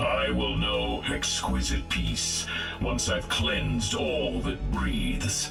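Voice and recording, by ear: A man speaks in a put-on character voice with vocal fry, his pitch extremely low and his intonation fairly even. He talks at a very slow pace over clear background music.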